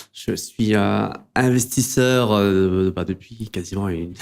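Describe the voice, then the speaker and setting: A man's fairly low voice with ordinary pitch variation, in a very clean recording with a silent background. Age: 40s. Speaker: wealth manager and investor. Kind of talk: interview conversation. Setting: studio. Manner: hesitant, many fillers.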